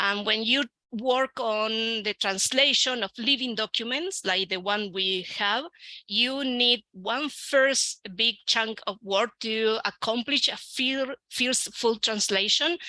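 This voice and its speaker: In an Argentine accent, a woman speaks very slowly with a fairly high pitch and a bright, sharp tone. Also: ordinary pitch variation, dry, close sound with no echo. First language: Spanish. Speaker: researcher and educator. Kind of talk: conference talk. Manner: halting, many fillers.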